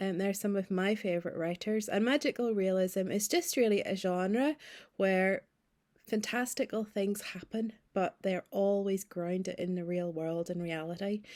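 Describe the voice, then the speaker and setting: A very clean recording with a silent background of a woman with a Northern Irish accent, at a moderate pace with ordinary pitch variation. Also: medium pitch for a woman. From Northern Ireland, Ballymena (County Antrim). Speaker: novelist. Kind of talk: recorded video message.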